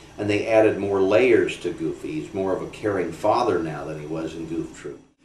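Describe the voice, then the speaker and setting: A man is heard with light background noise and audible room echo. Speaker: voice actor. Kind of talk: interview answer. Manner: casual, chatty. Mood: warm, relaxed. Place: home room.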